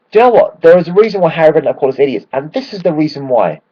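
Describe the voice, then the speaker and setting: With a London accent, a man speaks at a very fast pace and a high pitch. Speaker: football fan vlogger. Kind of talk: casual video blog. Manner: animated.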